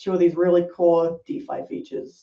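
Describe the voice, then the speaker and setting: The pace of this speech is moderate. It carries a New Zealand accent. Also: woman. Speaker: product designer. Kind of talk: podcast interview.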